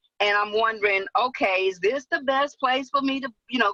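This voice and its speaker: A woman speaks with music in the background, the sound dry and close with no echo. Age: 60s. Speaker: webinar attendee. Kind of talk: Q&A question. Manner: hesitant, many fillers.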